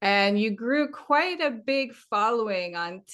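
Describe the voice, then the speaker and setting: A woman's bright, sharp voice with lively intonation over a quiet background. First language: French. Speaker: podcast host. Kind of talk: interview.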